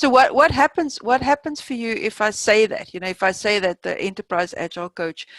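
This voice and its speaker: In a dry, close sound with no echo, a woman with a non-native accent speaks at a fairly high pitch. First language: not English. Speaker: agile coach, session facilitator. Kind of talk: open workshop discussion. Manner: hesitant, many fillers.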